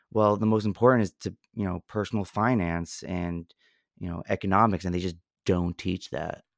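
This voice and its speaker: A man's very deep, low voice with an American accent, fairly even intonation and a moderate pace, recorded very cleanly against a silent background with a dry, close sound and no echo. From New Jersey, near New York. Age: 20s. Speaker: podcast co-host. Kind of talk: casual chat.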